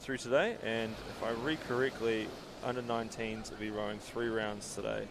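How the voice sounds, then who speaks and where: A man talks at a medium pitch, with audible room echo and noticeable background noise around him. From New Zealand. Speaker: sports commentator. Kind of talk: live commentary. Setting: commentary box. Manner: animated.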